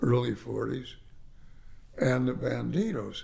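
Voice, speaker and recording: Fairly slow speech in an American accent from a man, audible room echo around it. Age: 80s+. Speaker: real estate developer. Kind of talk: interview storytelling. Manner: halting.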